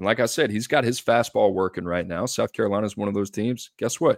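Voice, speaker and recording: Here is a normal speaking voice: a man at medium pitch, talking at a fairly quick pace. The recording is very clean, with a silent background and a dry, close sound with no echo. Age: 30s. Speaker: recruiting analyst podcast host. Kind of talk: casual sports chat.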